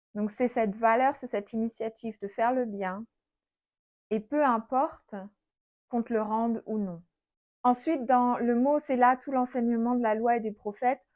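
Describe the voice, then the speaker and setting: Against a quiet background, a woman with a fairly high pitch speaks at a moderate pace with fairly even intonation. She takes long, frequent pauses. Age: 30s. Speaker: Bible teacher. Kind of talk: Bible study teaching. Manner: conversational.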